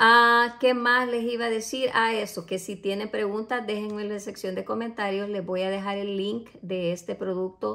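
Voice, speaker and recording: Bright, sharp, medium-pitched voice of a woman at a moderate pace, with fairly even intonation, hardly any pauses and a quiet background. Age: 40s. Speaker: beauty product reviewer. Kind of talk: product unboxing review. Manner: casual with frequent hesitations. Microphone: phone near.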